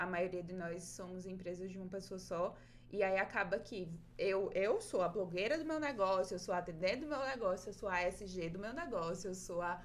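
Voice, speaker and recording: The pitch varies in an ordinary way. Delivery moves at a moderate pace. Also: woman, medium pitch for a woman. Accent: northeastern Brazilian. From Brazil, Northeast (Rio Grande do Norte, small town). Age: 20s. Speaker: paper craft artist and teacher, podcast host. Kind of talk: interview, casual chat.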